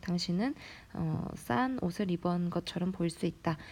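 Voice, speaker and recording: A woman speaks with lively intonation at a fairly low pitch, her voice somewhat breathy. The recording is very clean, with a silent background. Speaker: English teacher. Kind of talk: lecture.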